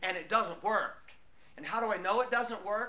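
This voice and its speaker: A man speaks in a high, raised, projected voice with ordinary pitch variation. Noticeable background noise is present. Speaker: motivational speaker. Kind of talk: workshop talk. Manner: animated.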